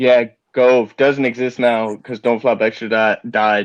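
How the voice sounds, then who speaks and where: A man with an American accent, fairly slow pace and monotone, flat intonation. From United States. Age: 20s. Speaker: battle rapper. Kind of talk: podcast interview.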